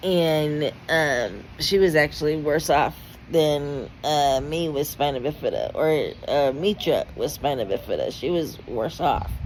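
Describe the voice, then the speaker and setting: A woman speaks in a very deep, low voice at a fairly slow pace, with ordinary pitch variation. Noticeable background noise runs behind her. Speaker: vlogger. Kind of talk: personal vlog testimony. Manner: halting, stuttering.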